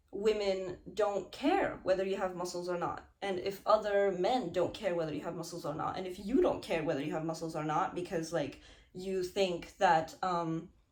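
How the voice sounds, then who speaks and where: A woman's voice with hardly any pauses, over noticeable background noise. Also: medium pitch for a woman, ordinary pitch variation. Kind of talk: casual talk to camera. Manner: slow.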